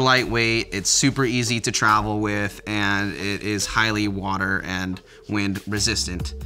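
A man's fairly low-pitched voice at a moderate pace with hardly any pauses, faint music in the background. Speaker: clothing reviewer. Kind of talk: product review talk. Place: home room.

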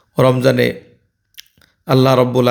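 Audible room echo around a man's voice at a medium pitch. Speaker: vlogger. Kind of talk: casual vlog talk with religious advice.

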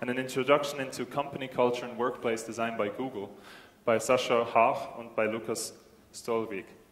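Audible room echo carries a man's medium-pitched voice, flat and monotone in intonation, at a moderate pace. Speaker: event host. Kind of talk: event announcements. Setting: stage with audience. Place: hall.

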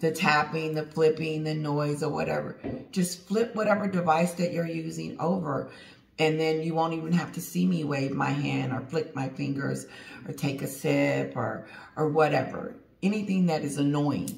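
A woman speaks with a very deep, low pitch and ordinary pitch variation, at a moderate pace. Room echo is audible. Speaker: channel host. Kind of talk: casual vlog chat. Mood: relaxed, laughing. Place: home room. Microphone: phone near.

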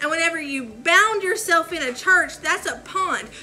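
At a moderate pace, the voice has a bright, sharp tone and ordinary pitch variation, with faint background noise behind it. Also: woman.

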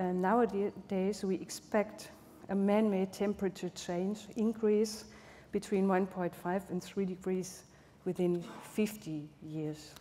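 Speaking at a very slow pace, a woman with a medium pitch and a dark, mellow tone keeps her intonation fairly even over light background noise. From Germany. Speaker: architect; architect presenting at panel. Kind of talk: lecture. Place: hall. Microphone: podium.

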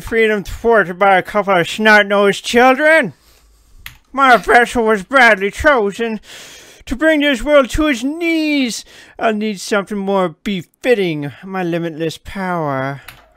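Using a put-on character voice, a man speaks fairly slowly at a high pitch with very wide pitch swings. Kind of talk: formal, theatrical. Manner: menacing, grandiose.

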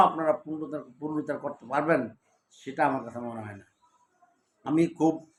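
Here a man talks with fairly high pitch. His pitch varies in an ordinary way. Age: 50s. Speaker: political commentator, lawyer. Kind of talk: political commentary monologue. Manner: halting, with frequent pauses and self-corrections.

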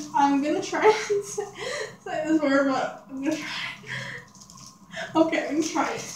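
A woman with an extremely high pitch speaks with ordinary pitch variation and long, frequent pauses. Audible room echo and light background noise surround her voice. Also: moderate pace. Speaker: vlogger. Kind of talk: casual talk to camera. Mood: giggly, playful. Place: home room. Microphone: phone near.

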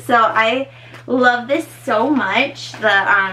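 Light background noise is audible as a woman talks. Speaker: personal trainer. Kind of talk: casual vlog chat. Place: home room. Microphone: camera far.

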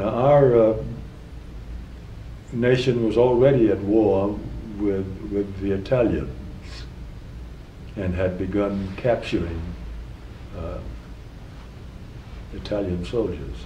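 A man with an American accent speaks at a very slow pace with long, frequent pauses and ordinary pitch variation. Audible room echo and light background noise are present. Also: fairly low pitch for a man. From South Carolina, USA. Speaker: retired federal judge, war veteran. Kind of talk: oral history interview answer. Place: office.

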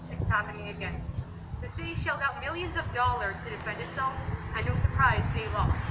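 The speech moves at a moderate pace. Loud noise fills the background. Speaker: rally speaker. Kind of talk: rally speech, angry protest address to a crowd. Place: street. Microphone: camera far.

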